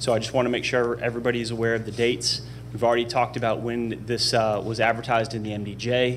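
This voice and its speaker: Light background noise can be heard. Over it, a man speaks very fast. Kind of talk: presentation to a board. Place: hall. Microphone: podium.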